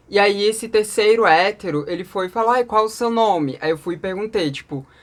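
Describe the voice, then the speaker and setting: Speaking at a fairly quick pace, a woman uses an animated tone and lively intonation in a very clean recording with a silent background. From Brasília, Brazil. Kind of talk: casual storytelling vlog.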